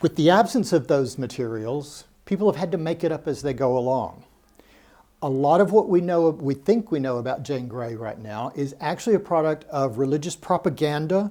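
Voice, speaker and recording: This man has an American accent and a normal speaking voice, pitched fairly high for a man. He talks at a moderate pace with lively intonation. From United States. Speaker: historian giving a talk. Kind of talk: public lecture.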